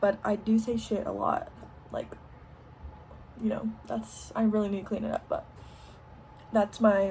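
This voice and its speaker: A woman speaks with an American accent. Noticeable noise sits behind her voice. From Texas. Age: 20s. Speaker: vlogger. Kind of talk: casual Q&A vlog.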